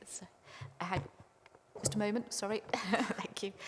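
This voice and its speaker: A woman's voice can be heard. Noticeable background noise accompanies her. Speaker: committee chair. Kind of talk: chairing a meeting.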